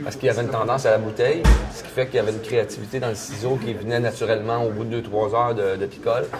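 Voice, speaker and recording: In a Quebec accent, a man at a medium pitch speaks at a very fast pace with fairly even intonation while music plays in the background. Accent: Québécois French. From Quebec, Canada. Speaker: storyteller. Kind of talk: interview answer. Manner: casual, colloquial.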